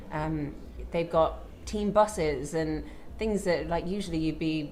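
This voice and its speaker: A woman speaks at a fairly slow pace with a very deep, low pitch, vocal fry, and ordinary pitch variation. Audible room echo surrounds her voice. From Ireland. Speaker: cycling commentator. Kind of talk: live commentary.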